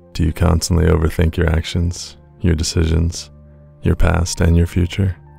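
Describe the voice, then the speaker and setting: Over music in the background, a man with a very deep, low pitch speaks at a moderate pace in a monotone, flat way, his loudness very even. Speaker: meditation guide. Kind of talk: meditation intro.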